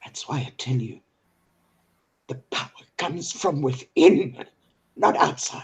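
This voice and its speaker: Delivered at a fairly slow pace, the voice is somewhat breathy, with big swings in loudness and ordinary pitch variation. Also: man, fairly high pitch for a man. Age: 60s. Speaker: online discussion host. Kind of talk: heated political discussion. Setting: live video call broadcast. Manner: animated.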